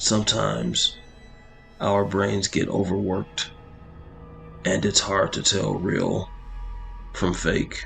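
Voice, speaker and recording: A man performs a raspy, put-on character voice at a fairly slow pace, with long, frequent pauses. Music is clearly heard in the background. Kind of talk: horror narration. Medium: solo performance. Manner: measured, dramatic.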